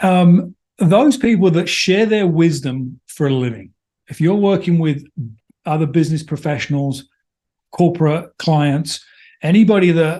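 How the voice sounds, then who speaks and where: With a slight English accent, the speaker has a dark, mellow tone, a moderate pace and ordinary pitch variation. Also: man. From London, England. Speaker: business consultant. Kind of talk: interview.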